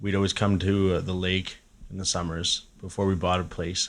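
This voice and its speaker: This man has a very deep, low voice and a Canadian prairie accent. His intonation is monotone and flat, on a very clean recording with a silent background. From Saskatchewan, Canada (Regina). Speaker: musician. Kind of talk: casual chat. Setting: cabin.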